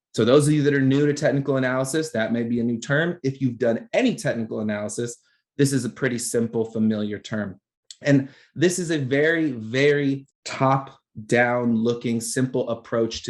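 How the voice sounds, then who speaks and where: Fairly even intonation at a moderate pace. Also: man. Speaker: trading educator. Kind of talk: live trading analysis lesson.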